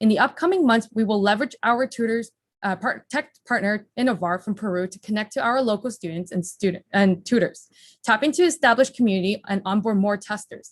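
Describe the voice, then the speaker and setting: At a fairly quick pace, a woman with a fairly high pitch and ordinary pitch variation sounds somewhat breathy, recorded dry and close with no echo. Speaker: startup founder pitching. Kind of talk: startup pitch. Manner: fast; rapid-fire without pauses.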